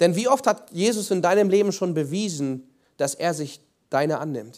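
A man's lively intonation comes through on a very clean recording against a silent background. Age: 20s. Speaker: preacher. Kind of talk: sermon. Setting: church. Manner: earnest, pleading, with halting restarts; warm, conversational, explaining.

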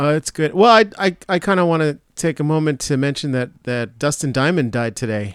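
A man with an unremarkable speaking voice talks fairly quickly with hardly any pauses, a fairly high pitch and lively intonation on a very clean recording with a silent background. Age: 40s. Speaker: podcast co-host. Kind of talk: casual chat.

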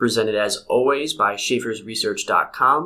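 This man talks at a fairly slow pace, his medium-pitched voice carrying a bright, sharp tone and ordinary pitch variation. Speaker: podcast host. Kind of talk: casual interview chat.

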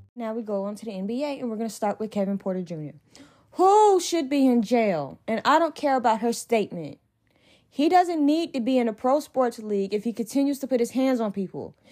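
A woman's fairly high voice at a fairly quick pace, with very wide pitch swings. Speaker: sports podcast host. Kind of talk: angry sports rant, heated commentary. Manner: indignant, emphatic, scolding; punchy, clipped, blunt commands.

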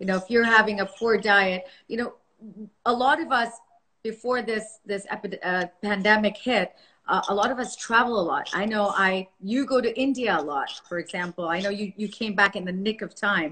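A woman speaks at a moderate pace with a fairly high pitch. Her tone is bright, sharp, animated and enthusiastic. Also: ordinary pitch variation. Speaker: podcast host, naturopathic doctor. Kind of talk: interview, casual chat. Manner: animated, enthusiastic.

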